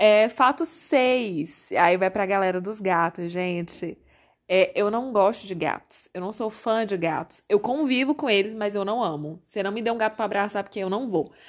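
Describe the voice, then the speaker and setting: A woman speaks at a moderate pace with ordinary pitch variation in an ordinary speaking voice, captured in a very clean recording with a silent background. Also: medium pitch for a woman. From Brazil, Corrente (Piauí). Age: 30s. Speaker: podcast host. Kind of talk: casual monologue.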